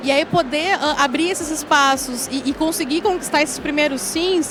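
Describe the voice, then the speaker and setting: Over noticeable background noise, a woman with a southern Brazilian accent speaks at a moderate pace in a high pitch with fairly even intonation. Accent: southern Brazilian (gaúcho). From Rio Grande do Sul, Brazil (countryside). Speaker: tech executive and founder of women-in-tech platform. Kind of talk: panel talk. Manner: hesitant, many fillers.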